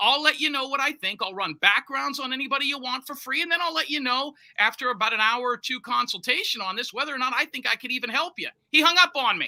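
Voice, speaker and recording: A man with an extremely high pitch and ordinary pitch variation talks at a very fast pace in a raised, projected voice, with a dry, close sound and no echo. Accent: American. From Florida. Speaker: private investigator. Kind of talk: interview.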